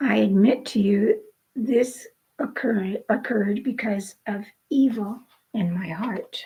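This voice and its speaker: A woman uses a put-on character voice that is raspy and fairly high-pitched. She speaks at a fairly slow pace. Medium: read story. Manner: pompous, self-important.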